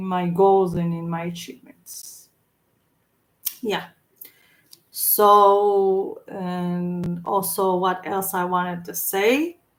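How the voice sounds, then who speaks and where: A woman with a non-native accent speaks at a very slow pace in a monotone, flat intonation, with long, frequent pauses. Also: medium pitch for a woman. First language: not English. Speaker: vlogger. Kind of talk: casual monologue. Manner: halting.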